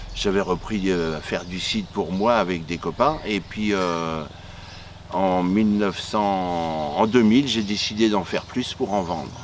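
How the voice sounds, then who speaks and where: Fairly slowly, a man speaks in a very deep, low pitch with ordinary variation. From Normandy, France (Le Havre area, Pays de Caux). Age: 60s. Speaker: cider maker. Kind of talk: interview. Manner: halting, with frequent hesitations.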